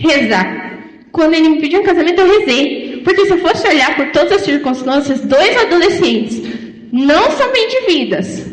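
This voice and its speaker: A woman's high voice with very wide pitch swings at a moderate pace, amid noticeable background noise and audible room echo. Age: 20s. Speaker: lay preacher. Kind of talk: sermon.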